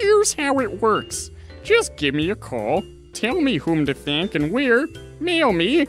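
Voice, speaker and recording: Clear music plays in the background behind speech with an upbeat tone at a fairly slow pace. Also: man. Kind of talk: parody commercial pitch. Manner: upbeat, salesy.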